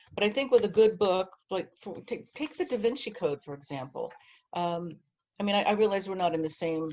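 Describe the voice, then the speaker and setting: Speaking at a moderate pace with lively intonation, a woman uses a plain, everyday voice at a medium pitch. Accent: American. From New Jersey. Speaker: publishing marketing director. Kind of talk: interview.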